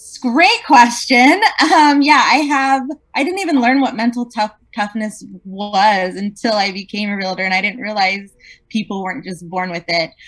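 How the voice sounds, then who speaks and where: A woman with a plain, everyday voice, at a moderate pace and with lively intonation. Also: fairly high pitch for a woman. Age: 40s. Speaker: real estate agent. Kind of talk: interview.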